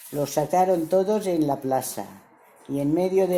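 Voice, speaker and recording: Over noticeable background noise, a woman speaks at a very slow pace with ordinary variation in pitch. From El Campello, Alicante. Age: 80s+. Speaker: civil war survivor interviewed. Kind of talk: oral history interview.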